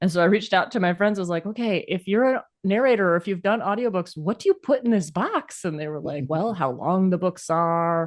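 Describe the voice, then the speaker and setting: A woman talks fairly quickly in an unremarkable speaking voice with ordinary pitch variation. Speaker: author, co-host. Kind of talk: casual conversation.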